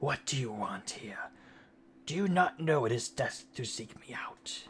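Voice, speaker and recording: A man's put-on character voice, raspy and growling, fairly high in pitch, at a moderate pace. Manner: snarling, hateful.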